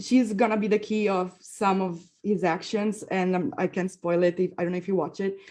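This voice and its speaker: A woman's medium-pitched voice with a dark, mellow tone, a moderate pace, fairly even intonation and hardly any pauses. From Italy. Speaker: film director and actress. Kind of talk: panel Q&A answer. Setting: festival stage Q&A.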